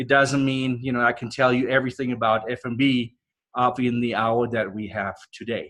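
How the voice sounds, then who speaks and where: With a European accent, a man speaks at a medium pitch in a monotone, flat intonation. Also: moderate pace. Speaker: professor. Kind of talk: guest lecture. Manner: casual, conversational.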